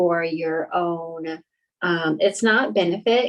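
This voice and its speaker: A woman speaks in a medium pitch with ordinary pitch variation. It is an ordinary speaking voice. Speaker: intuitive medium. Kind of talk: psychic reading session.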